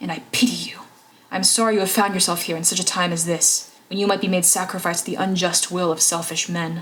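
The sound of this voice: The speaker reads in an unforced reading voice with fairly even intonation.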